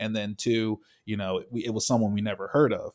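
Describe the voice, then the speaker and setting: The recording is very clean, with a silent background. A man with an unremarkable speaking voice talks at medium pitch and a moderate pace. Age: 20s. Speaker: sports podcast co-host. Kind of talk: casual chat.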